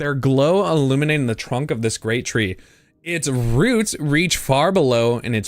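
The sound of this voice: The reading voice is unforced. Nothing about it sounds pushed.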